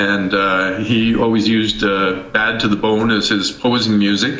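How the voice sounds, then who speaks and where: Very slow, monotone, flat speech from a man at fairly low pitch, with music in the background. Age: 60s. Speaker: natural bodybuilder. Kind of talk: interview answer.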